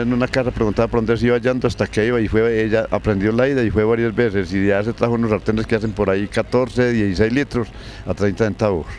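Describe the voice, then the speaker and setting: A man talks at a very fast pace with hardly any pauses, a medium pitch, fairly even intonation and very even loudness. The sound is dry with no echo and has light background noise. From Colombia, La Unión, Antioquia; Antioquia, Colombia. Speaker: elderly local resident; interviewee. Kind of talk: storytelling interview. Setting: outdoors in a park. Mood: reminiscing about old times. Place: street. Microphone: handheld.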